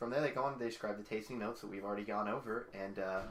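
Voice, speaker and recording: A man with an American accent talks at a very fast pace in a fairly low pitch. Audible room echo surrounds his voice. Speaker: podcast co-host. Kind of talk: casual chat.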